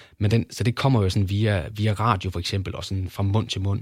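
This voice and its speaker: On a very clean recording with a silent background, a man speaks at a moderate pace in a fairly low, somewhat breathy voice with fairly even intonation. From Denmark, Kolding. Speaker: sports journalist. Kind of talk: casual interview. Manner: halting, many fillers.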